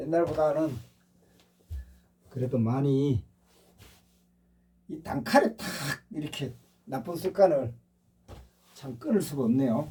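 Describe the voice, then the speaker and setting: The speech moves at a very slow pace with long, frequent pauses, lively intonation and big swings in loudness. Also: man, fairly high pitch for a man. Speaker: meditation/spiritual channel host. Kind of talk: casual monologue. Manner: slightly slurred pronunciation.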